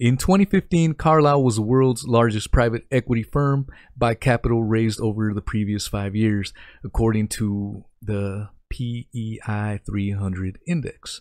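A man with a normal speaking voice talks at a moderate pace and medium pitch, using ordinary pitch variation, in a dry, close sound with no echo. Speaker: livestream podcast host. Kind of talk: casual livestream chat. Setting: live stream online.

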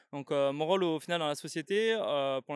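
A fairly quick delivery in a dry, close sound with no echo, on a very clean recording over a silent background. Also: man. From southern France, Catalan area (Canet-Plage). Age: 20s. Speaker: video agency co-founder, podcast co-host. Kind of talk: casual chat. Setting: outdoors.

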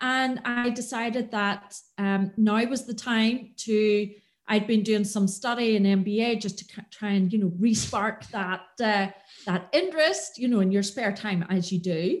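Somewhat breathy and fairly high-pitched, a woman with a Northern Irish accent speaks at a fairly slow pace with ordinary pitch variation. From Northern Ireland, County Antrim. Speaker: business consultant. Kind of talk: podcast interview.

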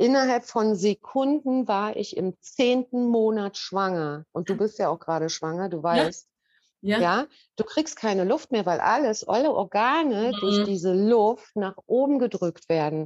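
In a dry, close recording with no echo, a woman speaks at a fairly slow pace, her fairly high pitch carried by lively intonation. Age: 50s. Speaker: customer sharing testimonial. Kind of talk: testimony. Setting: video call.

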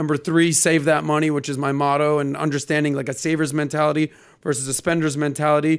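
Speaking at a very fast pace with monotone, flat intonation, a man with an American accent and a fairly high pitch comes through in a very clean recording with a silent background. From Miami, Florida. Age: 40s. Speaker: podcast host. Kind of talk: casual chat. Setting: studio.

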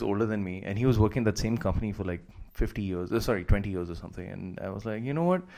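A man with a fairly low voice talks at a very fast pace with ordinary pitch variation, recorded very cleanly against a silent background. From India and Qatar. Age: 30s. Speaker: stand-up comedian. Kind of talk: casual chat.

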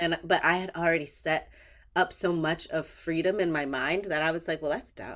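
A woman with an American accent speaks at a moderate pace with fairly even intonation and a fairly low pitch, in a plain, everyday voice. The recording is very clean, with a silent background. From Northern California, small town. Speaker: actor. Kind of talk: casual chat.

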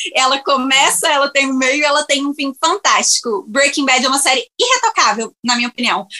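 The voice is raised and projected, moving at a moderate pace with lively intonation in a dry, close sound with no echo. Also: woman. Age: 20s. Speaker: podcast guest, series fan. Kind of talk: casual chat.

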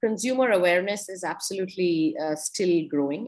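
Here a woman speaks in an Indian accent. She keeps a moderate pace at a fairly low pitch. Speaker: wine expert and businesswoman. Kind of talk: interview.

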